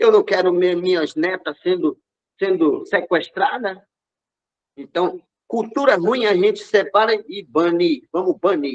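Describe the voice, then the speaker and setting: This man has a high pitch with ordinary pitch variation. He speaks at a fairly slow pace. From Brazil, Amazonas (Yanomami village, São Gabriel da Cachoeira). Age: 40s. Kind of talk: interview. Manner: passionate.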